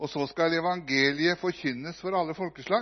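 This is an unremarkable speaking voice at a moderate pace. Its pitch variation is ordinary. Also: man. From Norway. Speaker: visiting preacher. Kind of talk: sermon.

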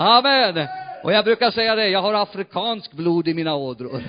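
One man talks with lively intonation and an animated tone. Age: 60s. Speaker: pastor. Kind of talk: sermon.

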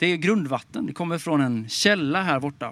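In a very clean recording with a silent background, a man uses a normal speaking voice at a fairly high pitch, with ordinary pitch variation and a moderate pace. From Småland, Sweden. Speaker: pastor. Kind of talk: sermon. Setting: outdoors in a park.

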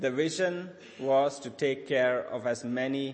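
A man is speaking. There is audible room echo. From Sri Lanka. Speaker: charity leader speaking at church. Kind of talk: sermon with interpreter. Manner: halting.

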